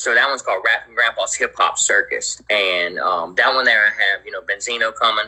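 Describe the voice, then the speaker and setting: A man talks with an American accent. He moves at a fairly quick pace with hardly any pauses. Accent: Southern, people say like Texas. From US South (Virginia and the Carolinas). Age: 40s. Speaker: rapper and music promoter. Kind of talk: interview. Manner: casual slangy.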